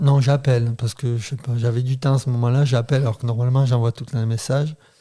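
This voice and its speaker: The tone is dark and mellow, with monotone, flat intonation. Delivery comes at a fairly quick pace. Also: man. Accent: southern French. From southern France, Béziers. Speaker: father. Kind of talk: casual interview chat.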